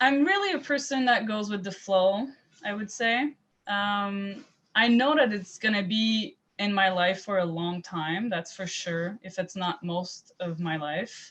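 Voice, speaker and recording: A woman speaks in a Quebec accent. Her intonation is lively and her pace very slow. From Quebec, Montreal area. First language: French. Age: 20s. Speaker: private chef. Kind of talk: interview. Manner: halting, many repetitions and fillers.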